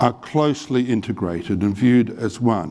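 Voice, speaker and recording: This man speaks with an Australian accent. His medium-pitched voice has lively intonation. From Australia, Adelaide. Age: 60s. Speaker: medical professor and researcher. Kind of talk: lecture.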